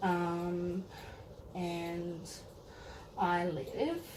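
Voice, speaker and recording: An Australian accent with audible room echo and noticeable background noise. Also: woman. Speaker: teacher and doll collector. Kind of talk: casual unboxing vlog. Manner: rambling, filler-heavy.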